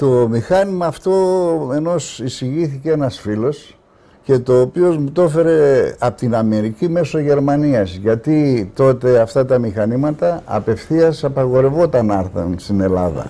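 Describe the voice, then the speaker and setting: A man's dark, mellow, medium-pitched voice at a fairly slow pace, with lively intonation. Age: 70s. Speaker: veteran treasure hunter. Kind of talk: interview. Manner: halting.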